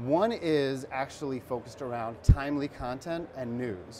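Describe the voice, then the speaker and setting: Some light background noise is present. The voice is a man's. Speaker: guest. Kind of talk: interview answer. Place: studio. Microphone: lapel.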